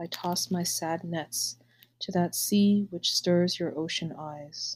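The voice is somewhat breathy, with ordinary pitch variation and a fairly slow pace. The recording is very clean, with a silent background. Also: woman. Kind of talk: poem reading, unhurried and wistful, after a casual chatty intro. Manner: slow, soft, measured and pensive; halting, hesitant in the casual intro.

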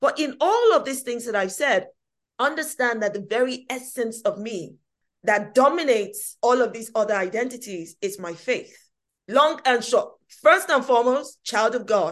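Animated in tone and lively in intonation, this speaker talks at a moderate pace with a London accent. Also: woman, high pitch for a woman. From England, East London (Hackney). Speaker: activist and political commentator. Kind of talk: interview.

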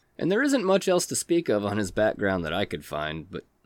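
In an American accent, a man speaks at a fairly quick pace with lively intonation on a very clean recording with a silent background. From southeast Texas. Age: 30s. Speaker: true crime podcast host. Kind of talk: casual storytelling. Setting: studio. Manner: animated.

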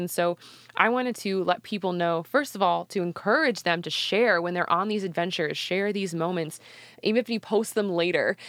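A woman speaks at a medium pitch. Hers is an ordinary speaking voice. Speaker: podcast team member reading sponsor messages. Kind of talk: scripted promo read.

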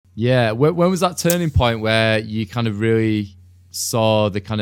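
This man speaks with a Mancunian accent at a fairly low pitch. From Manchester, England. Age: 30s. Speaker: podcast host. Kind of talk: casual interview.

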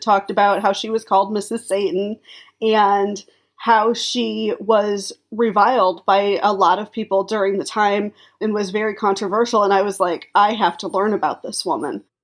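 The speaker uses an unremarkable speaking voice. The pace is moderate. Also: woman. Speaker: historian or biographer commentator. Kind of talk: interview commentary. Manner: casual, uses filler words.

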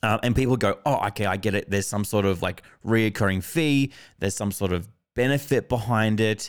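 A man speaks with an Australian accent at a fairly quick pace. His pitch is fairly low with ordinary variation, and his loudness stays very even. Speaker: podcast host. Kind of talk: casual interview conversation.

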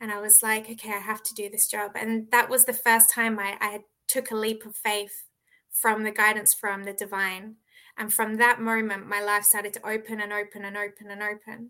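Bright, sharp female voice at a fairly high pitch with an Australian accent, moderate pace, monotone, flat intonation and big swings in loudness, in a very clean recording with a silent background. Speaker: author. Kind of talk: interview.

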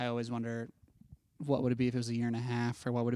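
In a very clean recording with a silent background, a man of medium pitch talks with a Midwestern American accent. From Ohio (Dayton). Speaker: film student. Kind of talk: casual chat.

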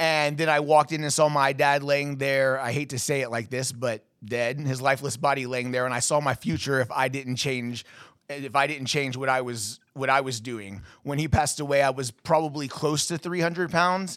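A man's fairly high voice carries fairly even intonation. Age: 30s. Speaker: podcast host. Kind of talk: casual chat. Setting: studio. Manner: fast talker.

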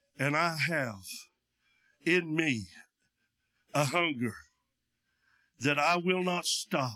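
A man speaks with an East Tennessee accent. His tone is bright and sharp, with ordinary pitch variation. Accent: Southern US (East Tennessee). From East Tennessee, Union County. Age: 70s. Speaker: pastor, missionary. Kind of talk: sermon. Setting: church with PA system. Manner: loud.

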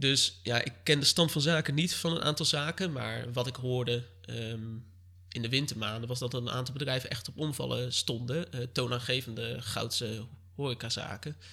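A man's bright, sharp voice with vocal fry, medium in pitch, at a moderate pace with ordinary pitch variation. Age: 20s. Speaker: local political candidate. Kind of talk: interview. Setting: living room of his mother's home.

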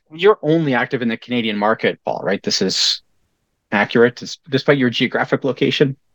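In an ordinary speaking voice, a man talks at a fairly quick pace and a medium pitch with lively intonation, and the sound is dry and close with no echo. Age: 40s. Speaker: podcast host and financial educator. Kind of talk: interview.

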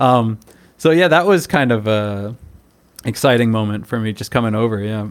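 In an American accent, an ordinary speaking voice talks at a moderate pace with ordinary pitch variation. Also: man, medium pitch for a man. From United States. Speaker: cram school English teacher. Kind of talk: casual interview conversation.

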